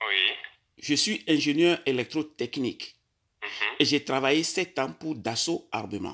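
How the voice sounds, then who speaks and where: Against a quiet background, a man with a fairly high pitch and a bright, sharp tone speaks very slowly with lively intonation. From Togo. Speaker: caller. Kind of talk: phone call. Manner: halting.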